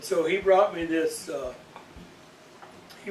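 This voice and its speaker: Over noticeable background noise and audible room echo, a man talks with an American accent. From Iowa. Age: old. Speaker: storyteller. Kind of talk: casual chat.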